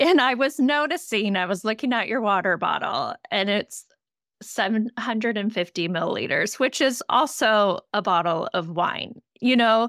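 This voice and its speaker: On a very clean recording with a silent background and a dry, close sound with no echo, a woman with an unremarkable speaking voice speaks at a moderate pace, with a fairly high pitch and lively intonation. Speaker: podcast host, nurse and health coach. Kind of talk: interview, casual conversation.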